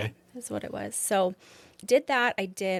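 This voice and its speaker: A woman uses a normal speaking voice at medium pitch and moderate pace, with ordinary pitch variation and a dry, close sound with no echo. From southern Alberta, Canada. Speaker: beauty and medspa business owner. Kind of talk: interview answer. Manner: casual, conversational.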